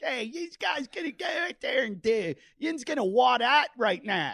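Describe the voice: Using a put-on character voice, a man speaks at extremely high pitch in a strong Pittsburgh accent. His pitch swings very widely at a moderate pace. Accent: thick Pittsburgh.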